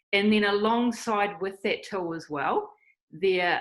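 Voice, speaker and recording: A woman with a New Zealand accent, at a fairly slow pace, with ordinary pitch variation. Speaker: online evangelism missionary. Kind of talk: interview.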